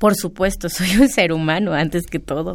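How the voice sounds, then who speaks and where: A woman's voice at a medium pitch, an unremarkable speaking voice with ordinary pitch variation. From Mexico, San Salvador Atenco. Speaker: land-rights activist. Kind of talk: radio interview.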